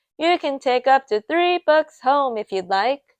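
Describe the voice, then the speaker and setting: A woman puts on a loud character voice, pitched high and delivered at a fairly slow pace. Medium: read story. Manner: brisk, loud.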